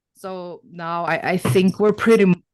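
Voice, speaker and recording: A woman with an ordinary speaking voice talks fairly slowly in a fairly low pitch, with a dry, close sound and no echo. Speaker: interview guest. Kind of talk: casual chat.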